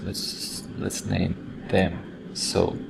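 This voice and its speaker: A man with a non-native accent, with noticeable background noise and audible room echo. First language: not English. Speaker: design software instructor. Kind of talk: screen-recorded tutorial. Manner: halting, with fillers and repeats.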